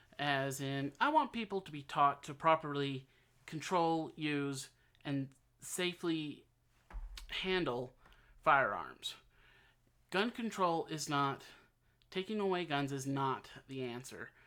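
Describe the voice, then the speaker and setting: A man with a fairly high pitch speaks very slowly in an American accent, his tone bright and sharp and his pitch varying in an ordinary way, on a very clean recording with a silent background. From United States. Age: 30s. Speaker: aspiring presidential candidate. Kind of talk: campaign announcement to camera. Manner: halting, loses track, misspeaks.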